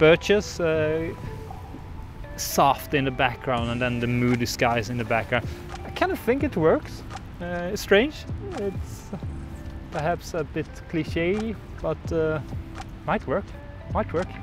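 A man talks at a very slow pace, leaving long, frequent pauses. Clear music plays behind his dry sound, which has no echo. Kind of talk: casual vlog chat. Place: open country.

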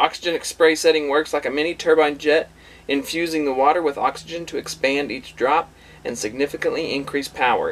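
A man speaks against light background noise. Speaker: RV owner reviewer. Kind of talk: product unboxing tutorial. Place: home room. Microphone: camera far.

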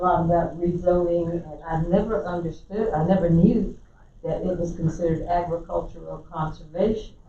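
Speaking in a South Carolina accent at a fairly low pitch, a woman's loudness swings widely, with noticeable background noise and audible room echo. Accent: Southern US (South Carolina). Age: 70s. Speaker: resident commenter. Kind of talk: public comment at council meeting. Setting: county council meeting.

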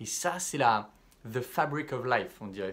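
His pace is fairly slow and his pitch medium. The man's intonation is lively. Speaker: self-development coach. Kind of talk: vlog monologue to camera. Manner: casual, hesitant with fillers. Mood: calm, reflective.

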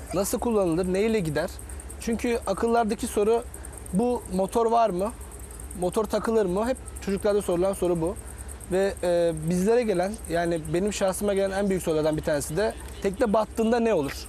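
A man with a high pitch and ordinary pitch variation talks at a moderate pace, his loudness very even, in a dry sound with no echo over light background noise. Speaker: sailing coach. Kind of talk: TV interview. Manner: halting. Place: garden. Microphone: lapel.

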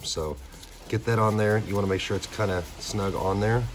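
Light background noise sits under a man's voice. He sounds somewhat breathy and talks at a fairly quick pace. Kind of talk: tutorial. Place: workshop. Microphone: phone near.

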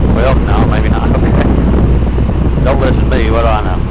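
A man's voice comes through with a dry sound and no echo, over loud background noise. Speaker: flight instructor. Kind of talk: in-flight instruction. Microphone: headset.

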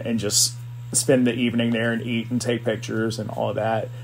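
A man with an American accent speaks at a fairly quick pace. His pitch is medium, and his voice is somewhat breathy. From US South, South Carolina. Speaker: assistant principal and photographer. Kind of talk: casual chat.

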